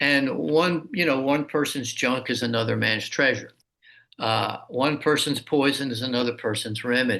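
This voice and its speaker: Talking at a moderate pace, a man has a bright, sharp tone with vocal fry. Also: medium pitch for a man, ordinary pitch variation. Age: 60s. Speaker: martial arts teacher and author. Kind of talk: interview conversation.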